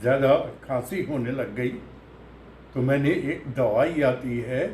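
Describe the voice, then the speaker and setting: A man with a fairly high pitch speaks with fairly even intonation and a somewhat breathy quality. Room echo is audible. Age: 80s+. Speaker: patient sharing recovery experience. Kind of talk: testimony. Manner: halting.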